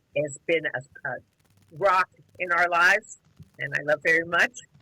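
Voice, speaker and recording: The tone is bright and sharp, with a dry, close sound and no echo. The pace is moderate. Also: woman. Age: 70s. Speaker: retired grandmother, podcast guest. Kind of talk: casual interview chat.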